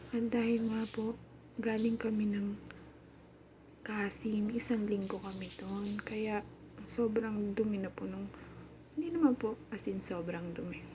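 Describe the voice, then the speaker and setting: A woman's fairly high voice at a fairly slow pace, with fairly even intonation, long, frequent pauses and noticeable background noise. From Philippines. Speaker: domestic worker and vlogger. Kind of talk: casual vlog narration. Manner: chatty.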